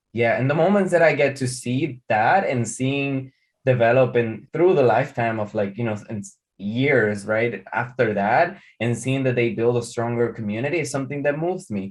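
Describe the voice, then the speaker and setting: A man with a Spanish accent speaks at a medium pitch and a moderate pace, with ordinary pitch variation, against a quiet background. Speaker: artist and art teacher. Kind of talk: interview conversation. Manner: halting, with frequent repetitions.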